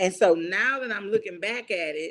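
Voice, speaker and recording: Lively intonation at a fairly quick pace. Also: woman. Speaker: family vlogger. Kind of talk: live stream chat. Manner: casual.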